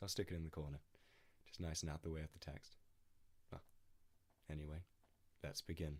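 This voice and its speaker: The speaker is a man. He has an English accent. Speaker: poetry reader. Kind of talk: reading aloud. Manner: hesitant.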